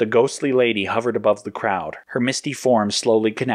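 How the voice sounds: The reading has fairly even intonation. It's delivered in a natural reading voice.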